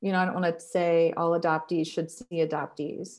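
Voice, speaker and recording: A woman with a Midwestern American accent on a very clean recording with a silent background. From Ohio, Columbus. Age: 50s. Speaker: therapist. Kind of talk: interview.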